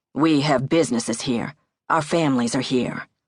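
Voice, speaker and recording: Using a put-on, growling character voice, a man speaks at a moderate pace and medium pitch with ordinary pitch variation. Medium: read story. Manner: direct, plainspoken.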